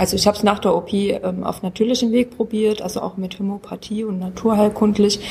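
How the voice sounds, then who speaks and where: A woman's dark, mellow, somewhat breathy voice moves at a moderate pace. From Munich. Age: 40s. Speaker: self-help group member, patient. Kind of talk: casual chat. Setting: at a medical conference.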